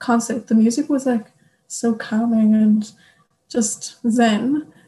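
A woman with an Irish accent speaks very slowly at a fairly high pitch, with fairly even intonation. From Ireland. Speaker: youth delegate, au pair. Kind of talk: casual chat.

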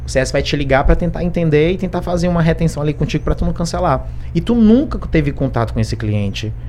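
With noticeable background noise behind him, a man rushes along at a very fast pace, hardly pausing at all. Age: 30s. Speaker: customer success specialist. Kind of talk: podcast interview.

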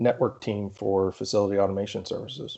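At a fairly quick pace, a man talks in a plain, everyday voice with a fairly low pitch. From Central Pennsylvania. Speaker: cybersecurity and smart building consultant. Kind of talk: interview conversation.

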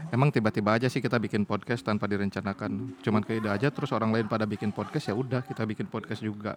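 Talking at a very fast pace with hardly any pauses, a man with a fairly low voice speaks in a strong West Javanese accent. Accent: strong Sundanese. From West Java (Sundanese, Bandung). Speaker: podcast host, office worker. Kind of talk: casual chat. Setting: recording after work in the evening. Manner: animated, laughing often.

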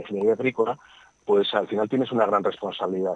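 With a dry, close sound and no echo, a man speaks in a fairly low, monotone, flat voice. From Spain, Burgos (Castile). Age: 60s. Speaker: agricultural engineer. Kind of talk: radio interview. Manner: halting, many repetitions and fillers.

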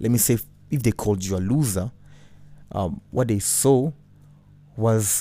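A man with a Burundian accent speaks in a dark, mellow tone. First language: Kirundi. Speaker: podcast host and former radio host. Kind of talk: casual monologue with faith talk.

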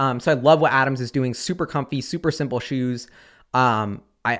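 With a normal speaking voice, a man talks fairly high in pitch and with fairly even intonation. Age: 20s. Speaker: investing YouTuber. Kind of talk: casual monologue.

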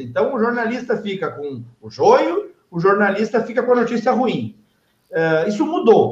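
A man speaks with an extremely high pitch and very wide swings in it. His pace is fairly slow. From southern Brazil, Novo Hamburgo (Rio Grande do Sul). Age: 40s. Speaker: radio station director. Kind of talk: casual chat. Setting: at the radio station.

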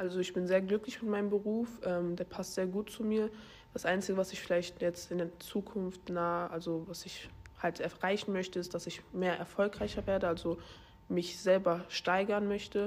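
The intonation stays monotone and flat while the words come at a moderate pace. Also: woman, medium pitch for a woman. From Germany, Baunatal near Kassel. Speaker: project manager. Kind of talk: interview.

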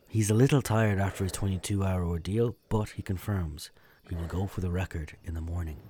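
A man talks at a fairly quick pace in a very deep, low voice with a dark, mellow tone, somewhat breathy and with ordinary pitch variation. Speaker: documentary narrator. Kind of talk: sports documentary narration, scripted and storytelling. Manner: measured, vivid, storytelling delivery.

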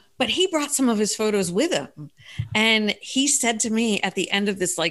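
In an American accent, a woman speaks at a fairly slow pace with a fairly high pitch and a bright, sharp tone. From US, Philadelphia. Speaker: improv and travel guest. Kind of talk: casual chat. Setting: remote call.

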